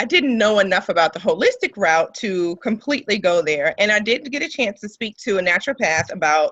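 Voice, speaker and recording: A woman with a normal speaking voice talks fairly quickly with lively intonation and hardly any pauses. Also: medium pitch for a woman. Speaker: breast cancer survivor and nonprofit founder. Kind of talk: podcast interview. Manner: conversational with frequent fillers.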